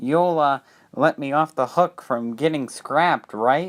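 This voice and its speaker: A man's put-on character voice, fairly high in pitch, at a fairly slow pace. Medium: read story. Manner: polite, anxious.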